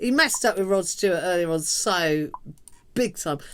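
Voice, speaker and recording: A woman talks at a moderate pace. Background music accompanies her. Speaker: punk singer and show host. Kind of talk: casual live-stream chat. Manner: projecting, loud. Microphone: far from the mic.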